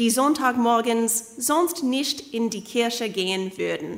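Delivered at a very slow pace with lively intonation, this voice has an English accent and audible room echo. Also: woman. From Canada, Kitchener-Waterloo, Ontario. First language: English (speaking German). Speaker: preacher, doctoral student. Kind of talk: sermon. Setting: church service.

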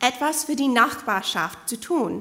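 A woman with a bright, sharp tone and lively intonation speaks at a very slow pace amid audible room echo. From Canada, Kitchener-Waterloo, Ontario. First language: English (speaking German). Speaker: preacher, doctoral student. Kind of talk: sermon. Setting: church service.

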